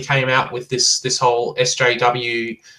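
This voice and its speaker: A man speaks with an Australian accent at a medium pitch. His tone is bright and sharp. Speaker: guest commentator. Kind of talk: casual chat. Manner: animated.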